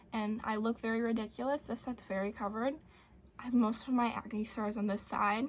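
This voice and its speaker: A fairly high, somewhat breathy woman's voice, monotone and flat, at a fairly quick pace. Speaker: beauty vlogger. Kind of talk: makeup tutorial chat.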